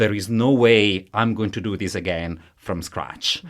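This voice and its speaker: Delivered in an Italian accent, the speech moves at a fairly slow pace with fairly even intonation. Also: man. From Italy. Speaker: professor of musicology. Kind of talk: interview. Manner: halting.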